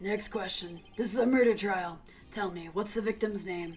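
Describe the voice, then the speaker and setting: A put-on character voice, raspy and fairly high in pitch, moves at a moderate pace with fairly even intonation against clear background noise. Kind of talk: formal courtroom speech. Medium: game stream. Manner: formal, deliberate.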